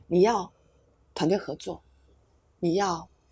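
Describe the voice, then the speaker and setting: A woman speaks at a fairly low pitch, somewhat breathy, on a very clean recording with a silent background. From Taiwan. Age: 60s. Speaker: psychologist and educator. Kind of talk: interview conversation.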